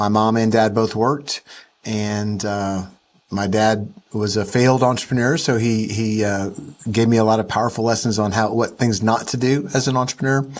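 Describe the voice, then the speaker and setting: In a Southern US accent, a man speaks at a moderate pace with a medium pitch and fairly even intonation. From US South. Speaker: entrepreneur and investor. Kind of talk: interview. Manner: casual, with frequent fillers.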